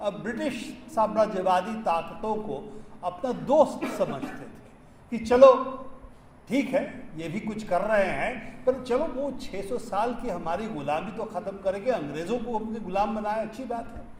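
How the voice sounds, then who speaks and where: A man with a high pitch and a non-native accent speaks with ordinary pitch variation and big swings in loudness, with noticeable background noise and audible room echo. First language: not Hindi (speaking Hindi). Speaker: science activist. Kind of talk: public speech. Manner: halting, with fillers.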